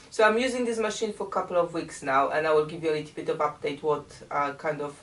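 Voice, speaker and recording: A woman with a Polish accent speaks in a very deep, low pitch with lively intonation. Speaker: quilting YouTuber. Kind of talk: casual vlog and unboxing.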